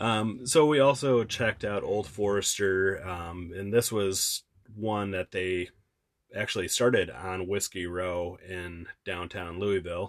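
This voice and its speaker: With a plain, everyday voice, a man with a fairly low pitch and an American accent talks at a fairly slow pace with ordinary pitch variation over a quiet background. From Wisconsin. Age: 30s. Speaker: travel podcast co-host. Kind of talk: casual chat.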